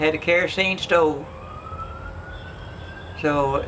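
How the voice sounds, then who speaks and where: The speaker has an American accent and fairly even intonation. Noticeable background noise can be heard. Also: man. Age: 80s+. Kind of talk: storytelling, family reminiscence interview.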